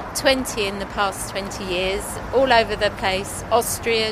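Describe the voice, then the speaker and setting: Against noticeable background noise, a woman speaks very slowly at a fairly high pitch. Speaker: retired library worker on holiday. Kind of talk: casual street chat. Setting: outdoors.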